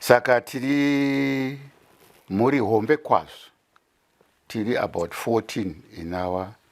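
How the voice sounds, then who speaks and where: Pausing long and often, a man talks at a very slow pace in a medium pitch with lively intonation. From Zimbabwe. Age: 70s. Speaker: retired pastor. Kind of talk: interview. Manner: code-switching between Shona and English.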